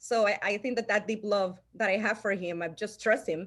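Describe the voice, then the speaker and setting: In a Salvadoran accent, a woman speaks at a fairly quick pace on a very clean recording with a silent background. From El Salvador. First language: Spanish. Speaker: insurance agency owner. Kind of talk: interview storytelling. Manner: halting, many restarts.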